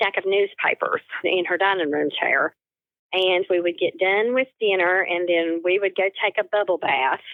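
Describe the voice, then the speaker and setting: Here a woman speaks with a slight northeast Tennessee accent. Her pace is moderate and her intonation fairly even. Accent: subtle northeast Tennessee. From Appalachian southwest Virginia near northeast Tennessee. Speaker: quilter. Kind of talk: interview.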